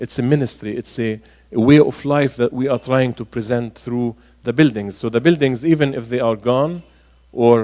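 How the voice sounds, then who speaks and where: A man with an Arabic accent at a moderate pace, his intonation fairly even. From Galilee, northern Israel (Nazareth area). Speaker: archbishop. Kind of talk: public talk Q&A. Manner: hesitant, many fillers.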